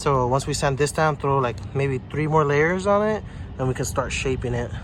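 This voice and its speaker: Pitched fairly high, a man in an unremarkable speaking voice keeps a moderate pace and ordinary pitch variation. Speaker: DIY car repair youtuber. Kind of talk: tutorial. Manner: casual.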